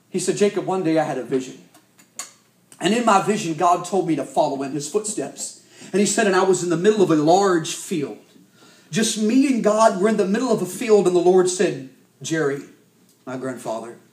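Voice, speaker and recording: With an American accent, a man speaks at a fairly quick pace in a high pitch, using lively intonation and long, frequent pauses, while audible room echo surrounds him. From US South, Arkansas. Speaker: youth evangelist. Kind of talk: sermon.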